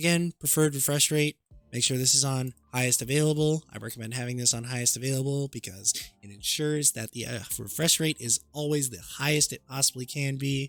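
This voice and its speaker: With music in the background, a man talks fairly quickly at a medium pitch and fairly even intonation, his loudness swinging widely in a dry, close sound with no echo. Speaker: gaming tech tutorial creator. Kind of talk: tutorial. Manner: casual, conversational.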